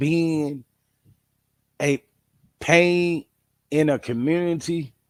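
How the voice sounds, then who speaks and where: A man talks at a very slow pace. His pitch is fairly high and his intonation fairly even. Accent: Midwestern. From St. Louis, Missouri. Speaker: dog breeder and video host. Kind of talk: casual monologue.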